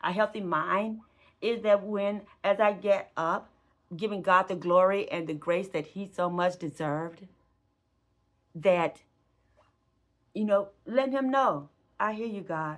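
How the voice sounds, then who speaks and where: The recording is very clean with a silent background, and a woman speaks at a medium pitch with ordinary pitch variation. Long, frequent pauses break up her speech. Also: fairly slow pace. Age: 60s. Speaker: retiree vlogger and gig worker. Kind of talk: casual vlog monologue. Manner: conversational, frequent fillers.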